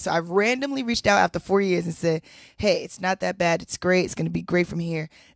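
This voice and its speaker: Against a quiet background, a woman talks at a very fast pace in an animated tone with an American accent. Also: dry, close sound with no echo. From New York. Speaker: reality show winner. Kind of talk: casual interview chat.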